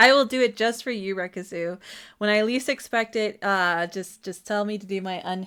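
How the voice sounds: A reading voice that sounds natural, its pitch shifting by a usual amount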